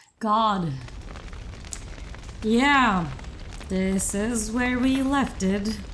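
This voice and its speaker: A woman speaks at a very slow pace and fairly high pitch with long, frequent pauses. Audible room echo surrounds her voice. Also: ordinary pitch variation. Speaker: gaming video host. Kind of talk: let's play commentary.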